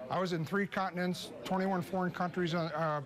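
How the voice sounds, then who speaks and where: Over noticeable background noise, a man talks at a fairly quick pace. His high voice stays monotone and flat. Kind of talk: interview answer. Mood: proud, reminiscing. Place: hall.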